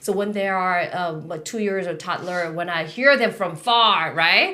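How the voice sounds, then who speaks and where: A woman with a Korean accent speaks at a medium pitch in a bright, sharp tone with lively intonation. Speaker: podcast host. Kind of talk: casual chat. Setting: studio. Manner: halting.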